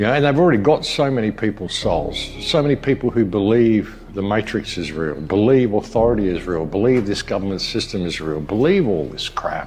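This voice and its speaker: A man talks at a fairly quick pace with hardly any pauses, his pitch swinging very widely. Music plays in the background. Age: 60s. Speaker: online commentator and filmmaker. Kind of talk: monologue to camera. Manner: earnest, repetitive with false starts.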